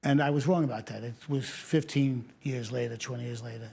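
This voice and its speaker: A man with a New York accent sounds somewhat breathy. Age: 70s. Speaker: retired fire captain. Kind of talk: interview testimony.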